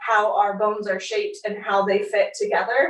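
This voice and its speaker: In an ordinary speaking voice, a woman talks with a fairly high pitch and fairly even intonation. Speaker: yoga instructor. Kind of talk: workshop teaching.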